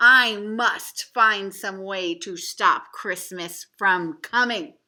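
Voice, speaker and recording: A growling put-on character voice at a very slow pace. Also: woman, medium pitch for a woman. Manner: growling, menacing.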